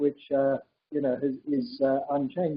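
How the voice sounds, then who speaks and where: This man has a fairly high-pitched voice. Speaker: physicist. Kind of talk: public dialogue. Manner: fast.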